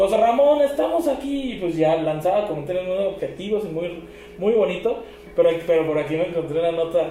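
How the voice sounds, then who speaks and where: A man's high-pitched voice at a fairly quick pace with very wide pitch swings, over noticeable background noise and audible room echo. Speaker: podcast co-host. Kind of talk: casual chat.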